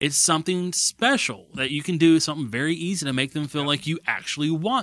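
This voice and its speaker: In a very clean recording with a silent background, a man with an ordinary speaking voice and a fairly high pitch talks at a fairly quick pace with hardly any pauses, lively intonation and big swings in loudness. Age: 20s. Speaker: podcast co-host. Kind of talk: casual chat.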